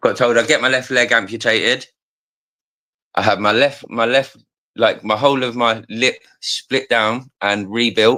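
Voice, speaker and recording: An animated tone with a bright, sharp edge in a Cockney accent, on a very clean recording with a silent background. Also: man, medium pitch for a man. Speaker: live stream participant. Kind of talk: casual chat. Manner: fast.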